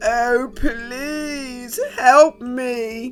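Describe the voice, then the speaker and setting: Clear music plays behind a woman doing a put-on character voice. She pitches it high. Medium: read story. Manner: lordly, lazy.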